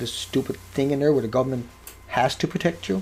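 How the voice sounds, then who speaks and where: A man with a medium-pitched voice speaks at a very fast pace against noticeable background noise. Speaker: video blogger on radiation. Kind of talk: monologue to camera. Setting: at home, cooking in background. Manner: animated, rhetorical questions.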